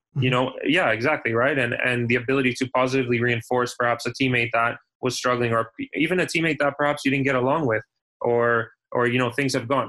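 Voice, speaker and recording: Very fast and at very even loudness, a man speaks at medium pitch in a bright, sharp tone with fairly even intonation. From Canada. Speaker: professional soccer player. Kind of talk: casual interview.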